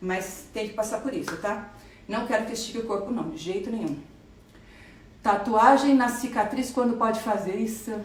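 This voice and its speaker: The speech has ordinary pitch variation and long, frequent pauses. There is audible room echo and noticeable background noise. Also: woman, fairly high pitch for a woman. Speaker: plastic surgeon. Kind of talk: live stream Q&A. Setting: Instagram live video. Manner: fast; animated.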